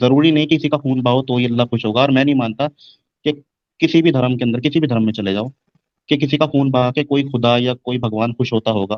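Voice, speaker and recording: A plain, everyday voice with fairly even intonation. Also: man, medium pitch for a man. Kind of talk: live stream discussion.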